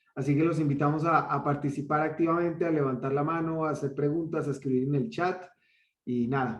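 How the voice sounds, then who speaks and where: A somewhat breathy male voice with a Colombian accent and fairly even intonation. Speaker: online course host. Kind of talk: welcome speech. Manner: hesitant, with many fillers.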